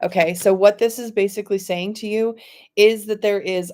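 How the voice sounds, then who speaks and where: Here the speaker is a woman. She talks with monotone, flat intonation. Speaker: intuitive oracle card reader. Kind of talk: live stream card reading. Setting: live stream. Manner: fast.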